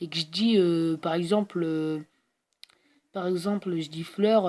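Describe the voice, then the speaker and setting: This woman talks at a very slow pace, her medium pitch moving with ordinary variation. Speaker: gaming youtuber. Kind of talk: casual video outro.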